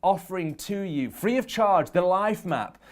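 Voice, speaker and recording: The speaker talks at a fairly slow pace with ordinary pitch variation. The recording is very clean, with a silent background. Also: man. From English Midlands. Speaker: performance and productivity coach. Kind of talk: motivational talk.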